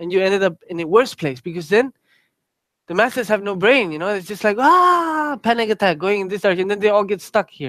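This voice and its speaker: A man with a Spanish accent at a fairly quick pace. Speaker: Buddhist teacher. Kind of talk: dharma talk. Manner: casual, filler-heavy.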